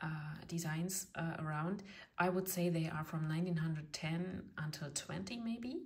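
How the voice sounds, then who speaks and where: With a German accent, a woman speaks at a fairly slow pace in a fairly low, somewhat breathy voice with ordinary pitch variation, and the room echo is audible. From eastern Germany. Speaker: tarot reader. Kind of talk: tutorial; casual chat. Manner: halting, many fillers.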